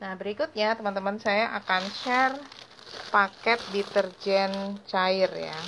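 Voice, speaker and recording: A woman talks with fairly even intonation. Noticeable background noise runs under her voice. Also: fairly slow pace. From Indonesia. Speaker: small business owner teaching homemade cleaning products; home detergent business tutor. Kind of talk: tutorial. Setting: live stream. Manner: hesitant, many fillers. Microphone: phone near.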